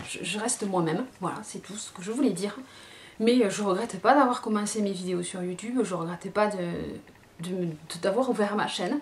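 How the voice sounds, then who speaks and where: Over noticeable background noise, a woman with a southern French accent speaks with big swings in loudness. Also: medium pitch for a woman, ordinary pitch variation, moderate pace. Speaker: beauty youtuber. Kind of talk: casual vlog. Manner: halting, many fillers.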